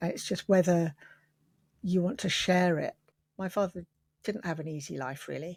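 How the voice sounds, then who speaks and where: On a very clean recording with a silent background and a dry, close sound with no echo, a woman with a southern English accent speaks at a moderate pace in a fairly low, somewhat breathy voice with ordinary pitch variation and long, frequent pauses. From London. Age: 60s. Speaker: quilter. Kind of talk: interview.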